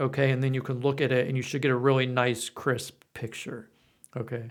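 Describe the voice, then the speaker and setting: The pace is moderate and the intonation fairly even. It is an unremarkable speaking voice. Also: man. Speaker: coding instructor and author. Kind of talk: tutorial. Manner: casual, with fillers.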